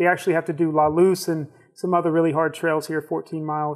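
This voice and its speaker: Against a quiet background, a man with an American accent talks at a moderate pace in a fairly high pitch with monotone, flat intonation. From Georgia, US South. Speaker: nonprofit ministry leader, Marine. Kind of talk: casual interview. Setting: studio. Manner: halting, with many fillers. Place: studio. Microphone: lapel.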